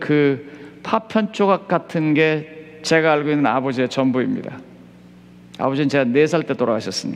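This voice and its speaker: With ordinary pitch variation, a man with a fairly high pitch talks at a fairly slow pace over noticeable background noise. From South Korea, Chungcheong (Seosan). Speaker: pastor. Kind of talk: sermon. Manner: crisp, clipped delivery.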